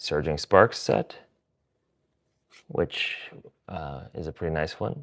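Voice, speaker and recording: A man with an American accent speaks very slowly at a very deep, low pitch, with vocal fry, ordinary pitch variation and long, frequent pauses. The recording is very clean with a silent background, and the sound is dry and close with no echo. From US Midwest. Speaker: streamer. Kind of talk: live stream card pack opening. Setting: live stream.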